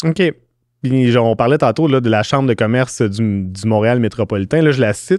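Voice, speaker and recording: A man speaks at a moderate pace with ordinary pitch variation and very even loudness, in a dry sound with no echo. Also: quiet background. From Quebec. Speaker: podcast host, communications director; podcast host. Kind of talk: podcast interview. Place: studio. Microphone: studio mic.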